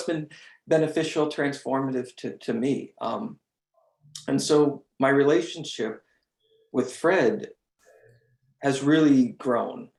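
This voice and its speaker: A man talks very slowly at a fairly high pitch, leaving long, frequent pauses. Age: 30s. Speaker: meditation group member. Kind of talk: testimony.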